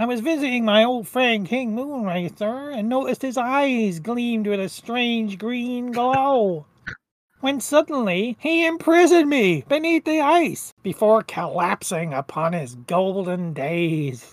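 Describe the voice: A woman puts on a nasal character voice with a fairly high pitch, speaking at a fairly slow pace on a very clean recording with a silent background.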